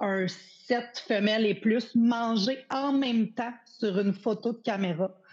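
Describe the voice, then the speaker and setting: A woman with a Quebec accent speaks in a somewhat breathy voice. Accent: Québécois French. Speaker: hunter, small business owner. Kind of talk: casual chat.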